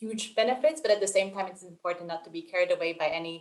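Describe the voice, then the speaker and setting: Her pitch sits in the medium range for a woman, and this woman uses ordinary pitch variation. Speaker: development organization ID specialist. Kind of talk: webinar presentation. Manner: fast.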